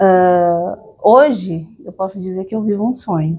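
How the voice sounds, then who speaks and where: A woman's somewhat breathy voice with a dark, mellow tone, at a fairly slow pace. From São Paulo, Brazil (moved there at age two). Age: 30s. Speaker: podcast guest, entrepreneur. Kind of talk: interview, personal storytelling.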